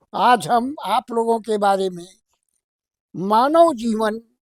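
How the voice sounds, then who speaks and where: A high-pitched male voice with ordinary pitch variation, in a dry, close sound with no echo. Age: 80s+. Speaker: elderly grandfather giving spiritual talk. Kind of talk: religious discourse.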